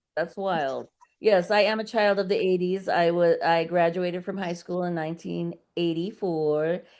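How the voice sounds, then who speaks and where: In an ordinary speaking voice, a woman talks at a moderate pace, her fairly low pitch following fairly even intonation. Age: 50s. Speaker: burlesque performer. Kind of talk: casual chat.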